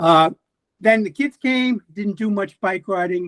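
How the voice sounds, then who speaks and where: In a dry, close sound with no echo, a man talks at a moderate pace with lively intonation. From US Northeast, Long Island, New York. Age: 60s. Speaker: retired nurse, bike traveler. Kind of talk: podcast interview.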